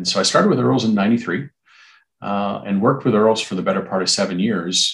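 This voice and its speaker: A man's fairly low voice, an unremarkable speaking voice, with ordinary pitch variation. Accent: Canadian. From Ontario, Canada (Brantford). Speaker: hospitality recruitment executive. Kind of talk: interview.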